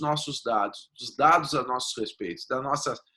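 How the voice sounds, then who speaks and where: A man with a southern Brazilian accent speaks at a moderate pace in a bright, sharp tone. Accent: gaúcho Brazilian Portuguese. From southern Brazil (Rio Grande do Sul). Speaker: data protection lawyer. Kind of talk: interview.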